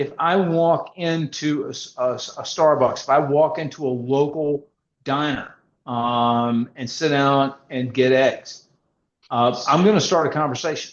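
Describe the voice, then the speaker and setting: A plain, everyday voice from a man, fairly high in pitch, fairly slow, with fairly even intonation. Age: 60s. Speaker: podcast co-host, real estate professional. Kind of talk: podcast interview. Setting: podcast.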